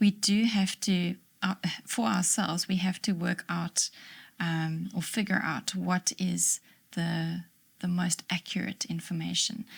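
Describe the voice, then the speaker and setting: A woman with a somewhat breathy, medium-pitched voice speaks at a fairly slow pace, recorded dry and close with no echo. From South Africa. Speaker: librarian. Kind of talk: interview answer.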